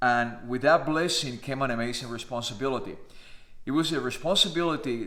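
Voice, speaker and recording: A man talks at a fairly quick pace in a Spanish accent, with audible room echo. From Cuba. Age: 50s. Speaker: naturalized citizen vlogger. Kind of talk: personal monologue.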